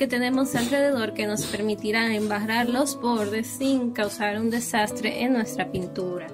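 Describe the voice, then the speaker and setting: A woman speaks at a high pitch. Clear music plays in the background. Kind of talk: tutorial. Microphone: phone near.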